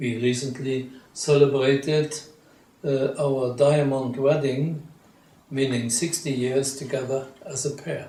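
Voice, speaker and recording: A man talks at a fairly slow pace and medium pitch with fairly even intonation. Noticeable background noise and audible room echo fill the recording. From Luxembourg. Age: 80s+. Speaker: retired journalist. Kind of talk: interview. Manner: hesitant.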